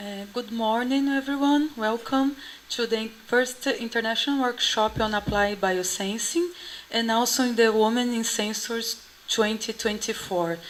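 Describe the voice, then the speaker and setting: This woman's voice sits fairly high. She talks at a fairly slow pace. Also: ordinary pitch variation. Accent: Portuguese. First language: Portuguese. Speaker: conference organizer, assistant professor. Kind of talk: opening speech at conference. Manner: halting, many fillers.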